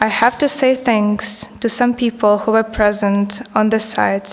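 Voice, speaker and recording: A woman's fairly high, flat, monotone voice with a non-native accent, at a moderate pace over noticeable background noise. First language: not English. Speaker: artist. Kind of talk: reading aloud. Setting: stage with audience.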